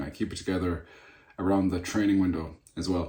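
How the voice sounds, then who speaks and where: Music plays in the background as a man talks in a fairly low voice. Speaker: natural bodybuilder and personal trainer. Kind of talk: casual vlog chat. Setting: sitting at desk.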